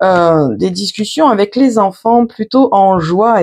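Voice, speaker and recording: This woman's words come at a fairly slow pace in a medium pitch. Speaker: tarot card reader. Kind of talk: tarot reading to camera. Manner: halting, many fillers.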